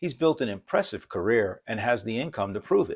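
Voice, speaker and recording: On a very clean recording with a silent background, a man speaks at a moderate pace. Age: 60s. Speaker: financial educator and airline pilot. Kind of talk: scripted narration.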